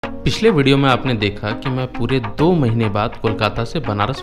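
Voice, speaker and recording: Music plays in the background as a man speaks. His pitch is medium, with ordinary pitch variation. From Varanasi, Uttar Pradesh. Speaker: travel vlogger. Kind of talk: travel vlog narration.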